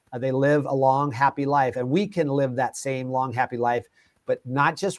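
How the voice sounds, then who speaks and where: A man talks at a fairly quick pace and a fairly high pitch, in an unremarkable speaking voice. The sound is dry and close, with no echo. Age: 60s. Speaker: nutrition company founder, alternative cancer advocate. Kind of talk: interview conversation.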